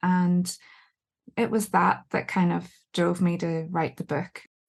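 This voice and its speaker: Over a quiet background, a woman with a Northern Irish accent talks at a fairly slow pace. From Northern Ireland. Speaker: book editor and author. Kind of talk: podcast interview. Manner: hesitant, many fillers.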